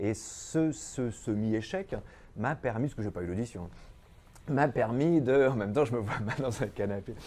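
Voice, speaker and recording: A medium-pitched male voice, dark and mellow in tone. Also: ordinary pitch variation, moderate pace. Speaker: actor and singer. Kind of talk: interview. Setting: studio. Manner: halting.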